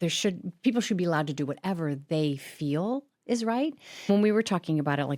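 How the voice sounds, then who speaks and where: Recorded very cleanly with a silent background and a dry, close sound with no echo, a woman speaks in an ordinary speaking voice, fairly low in pitch, with lively intonation at a fairly quick pace. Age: 60s. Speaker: podcast co-host. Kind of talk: casual podcast chat.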